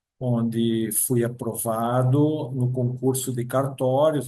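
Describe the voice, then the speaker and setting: A man speaks very slowly in a flat, monotone delivery, his medium-pitched voice dark and mellow. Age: 60s. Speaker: approved public exam candidate, future notary registrar. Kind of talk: interview.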